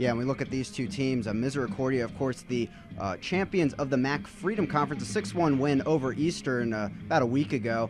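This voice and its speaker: A man with an American accent talks at a very fast pace with hardly any pauses, his medium-pitched voice carrying lively intonation over music in the background. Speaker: college sports play-by-play broadcaster. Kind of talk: live sports play-by-play commentary.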